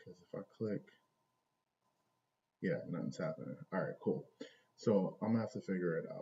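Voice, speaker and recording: A man with a very deep, low pitch and vocal fry talks at a fairly quick pace. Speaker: stock trading streamer. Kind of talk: live stream charting session. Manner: soft-spoken, talking low. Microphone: volume low, echoing room.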